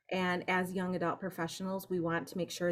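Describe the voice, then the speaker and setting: An unremarkable speaking voice with an American accent at a moderate pace. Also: woman. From Michigan. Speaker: organization staff member hosting a meeting. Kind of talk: welcome speech at an online meeting.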